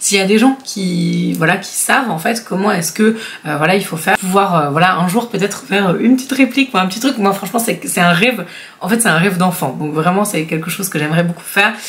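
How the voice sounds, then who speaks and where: An animated speaker talks at a very fast pace, with ordinary pitch variation. Noticeable background noise runs underneath. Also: woman, medium pitch for a woman. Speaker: YouTuber. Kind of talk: casual vlog commentary. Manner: hesitant, many fillers.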